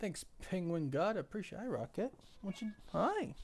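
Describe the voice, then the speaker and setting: A high-pitched man at a moderate pace, over noticeable background noise. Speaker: YouTube live streamer. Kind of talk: live stream chat. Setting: live stream. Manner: animated.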